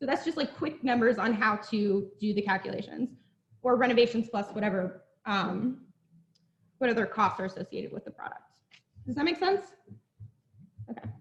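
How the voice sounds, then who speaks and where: A woman talks at a fairly quick pace in a fairly high voice with lively intonation. Long pauses come often. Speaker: real estate presenter. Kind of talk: presentation to a live audience. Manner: fast.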